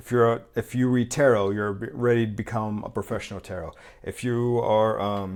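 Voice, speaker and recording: A man speaks with fairly even intonation. His loudness swings a lot. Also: medium pitch for a man. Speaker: tarot reader. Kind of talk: tarot reading monologue. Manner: fast.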